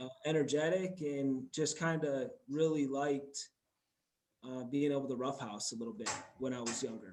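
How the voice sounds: A man's medium-pitched voice with a slightly mellow tone, fairly even intonation and a moderate pace, with audible room echo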